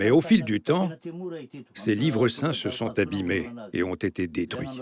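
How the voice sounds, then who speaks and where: Very wide pitch swings from a man of medium pitch, delivered fairly slowly. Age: 60s. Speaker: astrologer and healer. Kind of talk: documentary interview.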